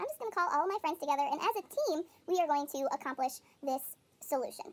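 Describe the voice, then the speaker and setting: This put-on character voice is squeaky and high-pitched, racing along at a very fast pace. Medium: read story.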